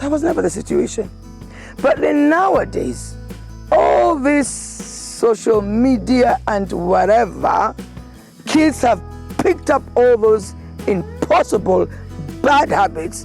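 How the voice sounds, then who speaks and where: With a Kenyan accent, a woman speaks at a very slow pace with long, frequent pauses while music plays in the background. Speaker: former local councillor and charity worker. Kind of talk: interview answer.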